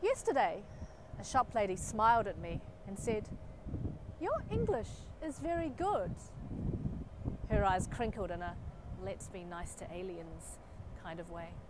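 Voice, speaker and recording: A woman with a New Zealand accent speaks at a fairly slow pace, leaving long, frequent pauses and swinging widely in loudness. The sound is dry with no echo, set against loud background noise. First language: Chinese. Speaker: poet. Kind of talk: poetry performance; spoken word poetry performance. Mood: wry, expressive. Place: street. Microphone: lapel.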